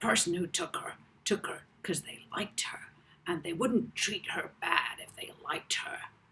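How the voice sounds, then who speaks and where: A put-on character voice whispers at a moderate pace. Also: man. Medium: read story. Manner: breezy, casual.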